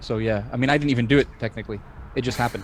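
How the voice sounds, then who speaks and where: With a Scottish accent, a man talks at a very fast pace in a monotone, flat intonation over noticeable background noise. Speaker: podcast co-host. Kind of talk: casual chat.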